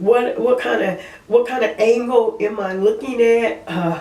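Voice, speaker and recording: With noticeable background noise, a woman in a Southern US accent talks at a very slow pace, her high pitch carrying lively intonation. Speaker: part-time store clerk. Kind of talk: casual talk to camera.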